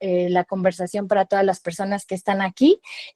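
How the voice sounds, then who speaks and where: In a dry, close recording with no echo, a woman speaks at medium pitch in a dark, mellow tone with monotone, flat intonation. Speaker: founder of a digital media outlet. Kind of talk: panel talk presentation.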